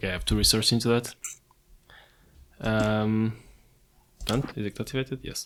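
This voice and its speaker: At a moderate pace, someone talks with a non-native accent. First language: not English. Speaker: gaming youtuber. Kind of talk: let's play commentary. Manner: casual, chatty.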